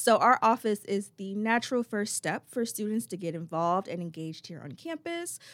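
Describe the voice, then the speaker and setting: In a very clean recording with a silent background and a dry, close sound with no echo, a woman at medium pitch talks fairly quickly with hardly any pauses, very wide pitch swings and big swings in loudness. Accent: American. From Chesapeake, Virginia. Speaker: student affairs program coordinator. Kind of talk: interview.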